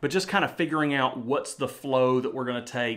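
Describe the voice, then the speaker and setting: A man with a medium pitch and ordinary pitch variation talks in a normal speaking voice. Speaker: YouTuber and Bible teacher. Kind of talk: casual vlog talk. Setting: home studio.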